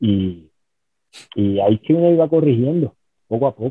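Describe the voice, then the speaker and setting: His voice sits at a medium pitch. The man's pitch varies in an ordinary way. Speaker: former pro wrestler and championship belt maker. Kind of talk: interview. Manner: halting.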